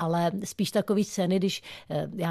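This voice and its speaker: With a dark, mellow tone and fairly even intonation, the voice comes through as a dry, close sound with no echo against a quiet background. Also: woman. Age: 50s. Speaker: stuntwoman. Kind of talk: radio interview. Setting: radio studio.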